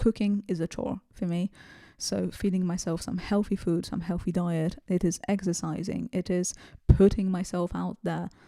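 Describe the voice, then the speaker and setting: In a very clean recording with a silent background, a woman with a non-native accent speaks at medium pitch and a moderate pace, her tone dark and mellow and her intonation fairly even. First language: not English. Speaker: self-improvement video creator. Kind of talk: casual monologue to camera. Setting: home recording with bare background. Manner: hesitant, many fillers.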